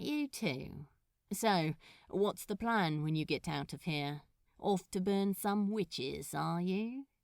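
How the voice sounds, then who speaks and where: Putting on a character voice, a woman drawls at a fairly slow pace with medium pitch and lively intonation, on a very clean recording with a silent background and a dry, close sound with no echo. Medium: read story. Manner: slow drawl, flirtatious.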